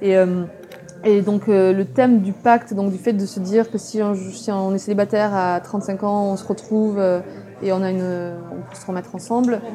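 Over noticeable background noise, a woman speaks with fairly even intonation and big swings in loudness. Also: medium pitch for a woman, moderate pace. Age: 30s. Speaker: author. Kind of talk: interview.

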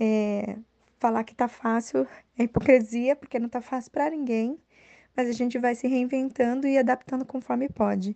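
A high-pitched woman with a dark, mellow tone, fairly even intonation and a moderate pace. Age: 30s. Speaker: working mother giving advice. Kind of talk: personal testimony.

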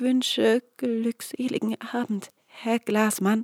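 A female-sounding put-on character voice comes out shaky and nervous in tone. It is fairly high in pitch and very slow. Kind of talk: formal, polite. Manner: nervous, trembling.

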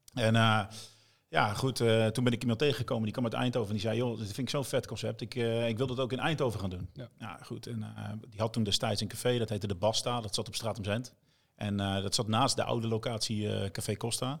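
Vocal fry runs through this man's voice. His pace is fairly quick. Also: medium pitch for a man, fairly even intonation, very clean recording, silent background. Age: 40s. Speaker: bar owner and DJ. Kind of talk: casual chat.

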